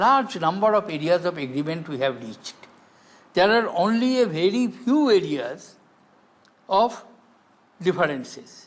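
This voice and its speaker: A man with an Indian accent and a high pitch speaks fairly slowly, with long, frequent pauses. His pitch swings very widely. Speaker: politician, former head of state. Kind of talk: interview answer.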